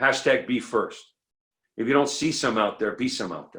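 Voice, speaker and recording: A man talks at a moderate pace. His loudness swings a great deal. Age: 60s. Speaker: recovering addict speaker. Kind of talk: recovery share to a meeting. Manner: animated.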